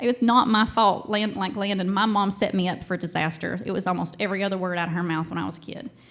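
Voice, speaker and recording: In a Southern US accent, a woman talks at a very fast pace with hardly any pauses, her pitch medium and its variation ordinary. Audible room echo surrounds her voice. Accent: Southern US, played up on stage. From Tennessee and Georgia, US South. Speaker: storyteller. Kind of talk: live storytelling. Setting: stage with audience. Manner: casual, animated.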